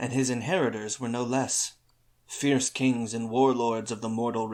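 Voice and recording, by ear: The text is read aloud in a natural voice with fairly even intonation.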